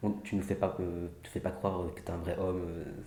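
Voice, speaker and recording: Over audible room echo, a man with a very deep, low pitch speaks in a dark, mellow tone that is somewhat breathy, with fairly even intonation. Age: 20s. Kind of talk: interview testimony.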